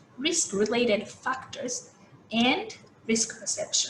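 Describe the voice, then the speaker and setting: A woman's high voice at a very slow pace, with very wide pitch swings and audible room echo. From Japan. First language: Japanese. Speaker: food safety expert. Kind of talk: keynote lecture. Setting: video call. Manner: halting.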